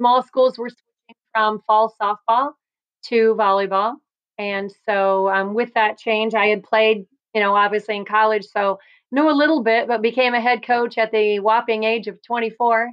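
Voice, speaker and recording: Speaking with a Midwestern US accent, a woman talks at a fairly slow pace in a fairly high pitch with fairly even intonation. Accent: US Midwest. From Iowa, Cedar Rapids. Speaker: volleyball coach. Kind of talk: interview.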